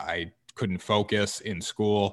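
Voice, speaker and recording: In a very clean recording with a silent background, a man with an American accent speaks at a fairly low pitch in a monotone, flat intonation. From Connecticut. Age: 20s. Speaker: podcaster and former college football player. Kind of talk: interview.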